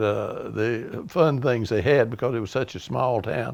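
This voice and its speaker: A man talks with an Appalachian accent. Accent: Southern US, Appalachian. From US South, East Tennessee (Kingsport). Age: 80s+. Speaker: retired car dealer, local elder. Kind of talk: oral history storytelling. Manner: hesitant, many fillers.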